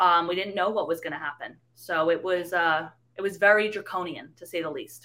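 A woman's fairly low, bright, sharp voice with a slight New York accent, fairly quick and fairly even in intonation, with big swings in loudness. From the Bronx, New York City. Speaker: young journalist turned activist. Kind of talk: casual interview.

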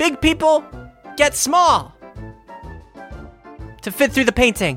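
A squeaky, high-pitched put-on character voice speaks at a fairly slow pace. Faint music plays in the background. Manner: eager, suggesting an idea.

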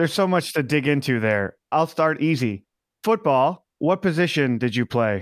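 In a very clean recording with a silent background and a dry, close sound with no echo, a man with an ordinary speaking voice talks at a moderate pace, fairly high in pitch, with lively intonation and very even loudness. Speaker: podcast co-host. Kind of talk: interview.

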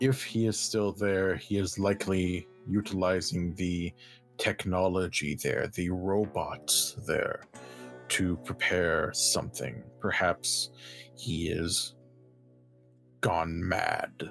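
In a put-on character voice, a man growls at a very slow pace, his pitch very deep and low, with ordinary pitch variation, very even loudness, and faint music in the background. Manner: formal, stiff, courteous.

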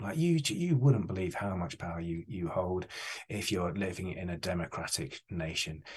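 In an English accent, a man with a very deep, low pitch and a somewhat breathy voice speaks at a moderate pace with ordinary pitch variation. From England. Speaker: charity chief executive. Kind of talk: interview.

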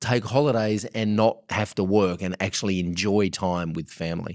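On a very clean recording with a silent background, a man with an Australian accent talks at a fairly quick pace. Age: 40s. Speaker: podcast host. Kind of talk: podcast interview.

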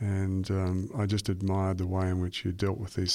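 A man with an Australian accent speaks at a moderate pace in a very deep, low pitch. His intonation is monotone and flat, on a very clean recording with a silent background. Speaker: radio host. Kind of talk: scripted narration; interview.

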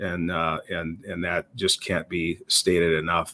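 A man speaks in a Minnesota accent at a fairly slow pace. The recording is very clean, with a silent background. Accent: Upper Midwest (Minnesota) American. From Minnesota, US Upper Midwest. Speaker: police chief. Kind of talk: interview. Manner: halting, frequent repetitions.

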